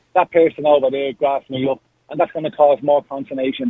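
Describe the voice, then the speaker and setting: Lively intonation marks this man's very fast speech. He talks in an Irish accent. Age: young. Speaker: caller. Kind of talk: radio phone-in. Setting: phone call.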